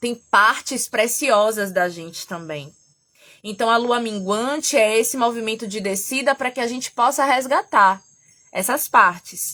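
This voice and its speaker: A loud woman with a fairly high pitch speaks at a fairly slow pace, her tone bright, sharp and animated. Her intonation is lively, and the recording is very clean with a silent background. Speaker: therapist and astrology teacher. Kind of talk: live stream talk. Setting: at home. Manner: animated, gets loud; trying to speak softly.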